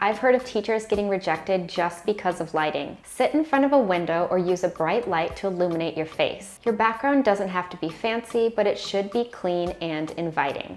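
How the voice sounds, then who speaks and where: A woman speaks with an American accent and ordinary pitch variation. Music plays in the background. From USA. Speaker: online teacher and YouTuber. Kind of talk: tutorial.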